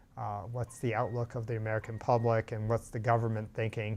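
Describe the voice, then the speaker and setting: The speaker is a man. He talks at a fairly quick clip. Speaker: history teacher. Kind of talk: lecture. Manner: fast; halting.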